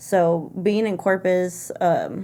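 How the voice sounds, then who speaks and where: A woman of medium pitch speaks with fairly even intonation in a dark, mellow tone. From Austin, Texas. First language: Spanish. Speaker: orchestra teacher. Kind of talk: casual chat.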